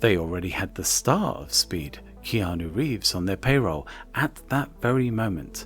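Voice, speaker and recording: With music in the background, a man speaks at a moderate pace. His pitch is very deep and low, with very wide swings. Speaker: video essay narrator. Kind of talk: film history narration. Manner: soft, ASMR-like.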